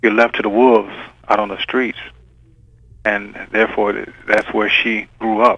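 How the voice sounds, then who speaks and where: A man with a fairly low pitch speaks in a flat monotone at a moderate pace. He makes long, frequent pauses. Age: 60s. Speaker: writer. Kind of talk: interview. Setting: phone call. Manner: halting.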